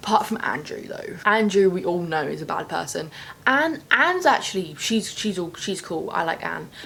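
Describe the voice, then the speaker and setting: A woman with a British accent, animated tone and moderate pace, amid noticeable background noise. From UK. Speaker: booktuber. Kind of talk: casual vlog talk.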